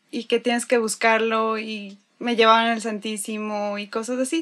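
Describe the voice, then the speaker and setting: A woman with an unremarkable speaking voice, fairly high in pitch, at a moderate pace, on a very clean recording with a silent background. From Ecuador, Quito. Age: 20s. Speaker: religious volunteer. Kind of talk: testimony.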